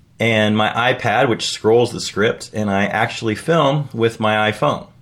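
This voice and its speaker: In a normal speaking voice, a man talks at a fairly slow pace with a medium pitch, fairly even intonation and very even loudness. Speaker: writer and video blogger. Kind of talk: scripted video update read from teleprompter. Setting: home basement recording setup. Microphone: separate audio recorder, room a little echoey.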